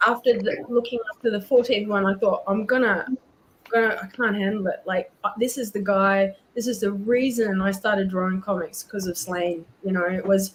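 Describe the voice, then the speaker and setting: Fairly even intonation carries the speech, delivered with a New Zealand accent. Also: woman. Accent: Kiwi. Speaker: comic artist. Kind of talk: casual storytelling.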